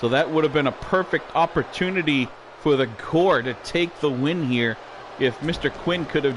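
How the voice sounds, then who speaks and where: A man at a moderate pace, fairly high in pitch with ordinary variation, against noticeable background noise. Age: 60s. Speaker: wrestling commentator. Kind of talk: live play-by-play commentary. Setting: home studio. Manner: animated.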